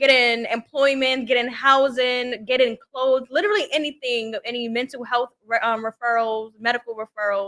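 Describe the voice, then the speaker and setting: A woman speaks in a Brooklyn accent with a high pitch and a bright, sharp tone. Her pace is moderate and her pitch varies in an ordinary way. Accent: New York (Brooklyn). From Brooklyn, New York. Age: 20s. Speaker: entrepreneur and social worker. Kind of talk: podcast interview.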